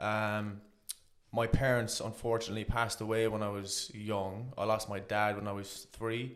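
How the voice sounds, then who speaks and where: Monotone, flat intonation from a man with an Irish accent, fairly low in pitch, at a moderate pace. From Ireland, County Kerry. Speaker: interview guest. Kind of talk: personal life story interview. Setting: on camera studio.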